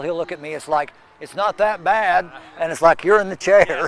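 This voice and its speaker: Noticeable noise sits in the background. Over it, a man talks at a fairly quick pace. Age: 60s. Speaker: charity runner. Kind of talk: news interview.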